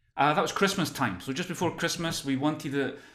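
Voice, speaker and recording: Speaking very quickly, a man keeps ordinary pitch variation while background noise remains noticeable. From Scotland, near Glasgow. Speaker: workplace well-being consultant and author. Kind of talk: podcast interview.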